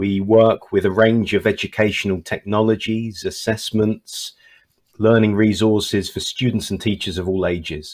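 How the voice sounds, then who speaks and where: The speaker has a British accent and a monotone, flat intonation. The pace is moderate, and the recording is very clean with a silent background. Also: man, fairly low pitch for a man. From Britain. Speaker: English test company manager. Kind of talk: panel discussion.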